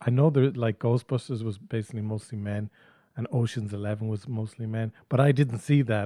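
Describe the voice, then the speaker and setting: With a dark, mellow tone, a man speaks at a medium pitch and moderate pace with fairly even intonation, the very clean recording dry and close with no echo and a silent background. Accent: Irish. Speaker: podcast host. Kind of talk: casual chat. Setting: studio.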